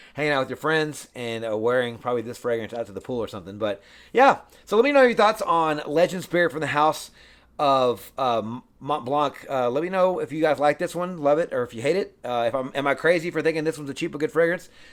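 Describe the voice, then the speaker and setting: A man speaks very fast at a fairly high pitch with lively intonation. The recording is very clean, with a silent background. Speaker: fragrance reviewer. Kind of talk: product review. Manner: halting, many fillers.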